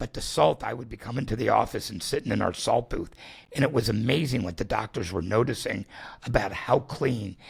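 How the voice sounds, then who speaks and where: A man's voice with vocal fry. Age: 60s. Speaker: salt therapy business founder. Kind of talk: casual interview.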